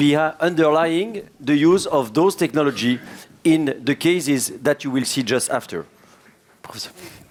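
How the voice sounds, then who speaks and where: Fairly high-pitched male voice in a French accent, moderately paced, with ordinary pitch variation. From France. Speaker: cardiologist, session chair. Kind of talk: conference session introduction.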